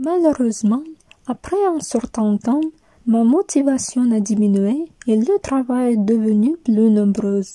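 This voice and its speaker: A woman's fairly high voice with a dark, mellow tone, lively intonation and very even loudness, very slow in pace, with a dry, close sound and no echo. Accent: Russian. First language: Russian (speaking French). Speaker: university student. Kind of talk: scripted narration.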